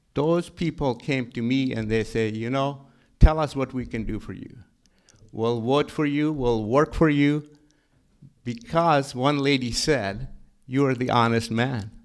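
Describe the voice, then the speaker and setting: A man speaks at a fairly slow pace in a strong Pakistani accent, at a medium pitch with ordinary pitch variation. The recording is very clean, with a silent background. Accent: heavy Pakistani. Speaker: county treasurer and tax collector. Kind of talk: panel talk. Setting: stage with audience. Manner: halting, repetitive starts.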